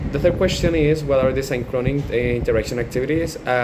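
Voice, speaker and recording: Over noticeable background noise and audible room echo, a man with a Colombian accent speaks fairly quickly with fairly even intonation. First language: Spanish. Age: 20s. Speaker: language student and English teacher. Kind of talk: class assignment video, partly reading aloud. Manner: halting, with fillers.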